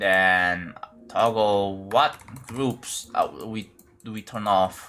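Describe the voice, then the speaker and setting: Over music in the background, a man with an Indonesian accent speaks at a fairly low pitch with ordinary pitch variation. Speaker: game streamer. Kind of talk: live game-building stream chat. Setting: live stream. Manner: casual, halting with repetitions.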